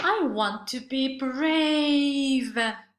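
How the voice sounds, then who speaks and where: A put-on character voice, female-sounding and pitched high. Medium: read story. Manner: timid.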